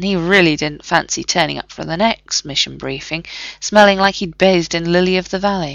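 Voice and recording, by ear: Natural-voiced reading aloud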